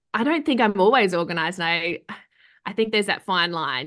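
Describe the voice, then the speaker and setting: Against a quiet background, a woman speaks with an Australian accent. Her pitch is medium and her intonation lively. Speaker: professional home organiser. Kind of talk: casual interview chat.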